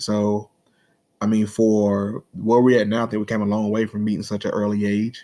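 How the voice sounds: The intonation is monotone and flat. The tone is slightly mellow. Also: man.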